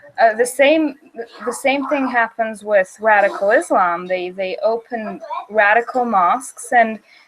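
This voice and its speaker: Lively intonation at a fairly slow pace comes through noticeable background noise. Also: woman, fairly high pitch for a woman. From Bulgaria. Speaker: video chat host. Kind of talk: casual chat.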